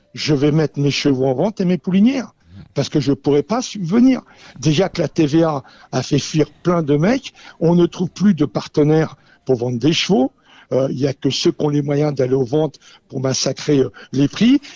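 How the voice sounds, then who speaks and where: A man with a fairly high pitch speaks at a moderate pace, his dark, mellow tone showing ordinary pitch variation in a dry, close recording with no echo. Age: 70s. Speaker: racehorse owner and breeder. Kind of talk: radio panel discussion. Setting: radio studio in a Paris venue. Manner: animated, impassioned; halting with repetitions.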